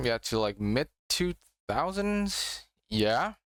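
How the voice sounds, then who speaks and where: A man with an Indonesian accent speaks at a very slow pace in a medium pitch with very wide pitch swings, recorded very cleanly against a silent background with a dry, close sound and no echo. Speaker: YouTuber reacting to tokusatsu. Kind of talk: casual reaction commentary. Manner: halting, many fillers.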